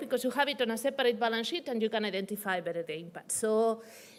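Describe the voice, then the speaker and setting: A woman talks at a very fast pace. Her pitch is high, with ordinary variation. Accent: Spanish. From Spain. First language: Spanish. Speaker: development finance researcher. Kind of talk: conference presentation.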